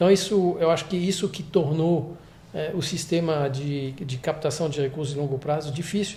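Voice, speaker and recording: A man's dark, mellow tone at a fairly high pitch, with a moderate pace. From France. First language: French (speaking Portuguese). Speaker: investment executive. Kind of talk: interview. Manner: halting.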